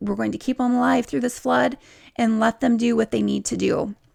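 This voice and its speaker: A woman talks at a moderate pace. The recording is very clean with a silent background. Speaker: Bible teacher. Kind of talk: Bible study with reading aloud.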